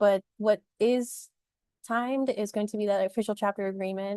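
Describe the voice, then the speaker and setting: A woman's medium-pitched voice has a dark, mellow tone, heard dry and close with no echo over a quiet background. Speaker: nonprofit program staff. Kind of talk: webinar presentation. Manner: fast; animated.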